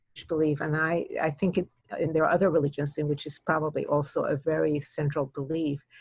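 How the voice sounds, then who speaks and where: Keeping a moderate pace, the woman talks in a fairly low pitch. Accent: Spanish. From Cuba, raised from 13 in US. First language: Spanish. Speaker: retired judge and children's author. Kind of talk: interview. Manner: halting, with repetitions.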